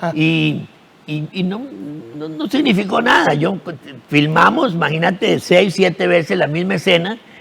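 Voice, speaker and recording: At a fairly slow pace, a man talks in a high voice with ordinary pitch variation against noticeable background noise. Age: 70s. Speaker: actor. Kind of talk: TV interview. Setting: TV studio. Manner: halting, repetitive.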